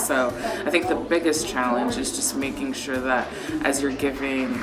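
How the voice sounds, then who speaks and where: Over noticeable background noise, a woman speaks in a very deep, low voice. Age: 30s. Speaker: family caregiver. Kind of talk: interview answer.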